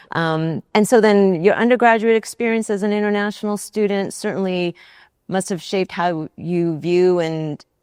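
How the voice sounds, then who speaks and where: An unremarkable speaking voice with ordinary pitch variation goes along at a moderate pace. The sound is dry and close with no echo, over a quiet background. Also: woman, medium pitch for a woman. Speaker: university administrator and interviewer. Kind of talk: interview host.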